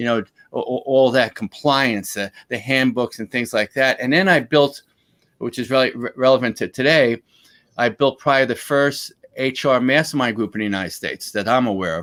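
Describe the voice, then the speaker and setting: A Bronx accent in a dry, close sound with no echo. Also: man, medium pitch for a man, ordinary pitch variation, moderate pace. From New York, Bronx. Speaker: former lawyer, HR consultant and speaker. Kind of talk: interview.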